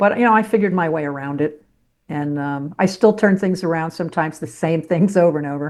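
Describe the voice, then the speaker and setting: Against a quiet background, a woman with an American accent speaks at a very fast pace in a fairly low voice with ordinary pitch variation. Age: 70s. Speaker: former sportscaster and author. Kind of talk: interview conversation.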